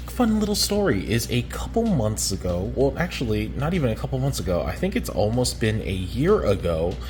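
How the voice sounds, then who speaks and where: Over music in the background, a man speaks with hardly any pauses and audible room echo. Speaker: reef aquarium hobbyist YouTuber. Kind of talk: casual video vlog. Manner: casual with many filler words; whispering.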